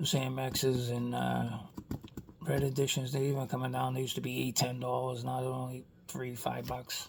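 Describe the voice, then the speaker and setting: A man at a moderate pace, with audible room echo. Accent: Boston. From Boston area, Massachusetts. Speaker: toy car collector YouTuber. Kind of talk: casual vlog monologue. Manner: rambling conversational, many fillers.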